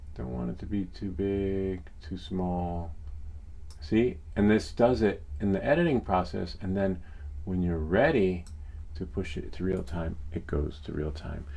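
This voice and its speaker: With a very deep, low pitch and a dark, mellow tone, a man speaks in an American accent, somewhat breathy and with lively intonation, while audible room echo surrounds him. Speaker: tech YouTuber, 3D printing streamer. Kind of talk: live stream tutorial. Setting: live stream. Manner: casual, filler-heavy.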